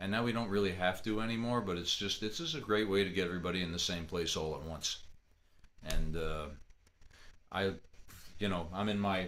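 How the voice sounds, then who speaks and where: Against audible room echo, a man with a very deep, low voice talks at a fairly quick pace, broken by long, frequent pauses. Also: fairly even intonation. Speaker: fiddler teaching a slow jam. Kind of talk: online music workshop talk. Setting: video call from home office. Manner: quiet speaking voice; casual, halting with repetitions.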